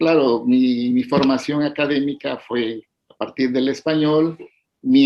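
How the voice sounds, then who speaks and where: Speaking very slowly with fairly even intonation, a man talks in an Oaxacan accent. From Mexico, Oaxaca Isthmus (Zapotec region). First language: Zapotec (speaking Spanish). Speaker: poet and educator. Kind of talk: interview. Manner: halting, many fillers.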